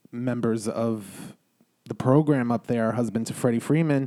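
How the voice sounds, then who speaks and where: A man speaks with a strong New York accent and a dark, mellow tone. His intonation stays fairly even. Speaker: podcast guest. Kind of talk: casual chat. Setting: studio.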